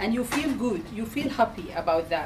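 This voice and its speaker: Noticeable background noise sits behind a woman talking at a fairly slow pace and fairly high pitch. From Sudan. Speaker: community campaigner. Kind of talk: public speech. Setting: public meeting with audience.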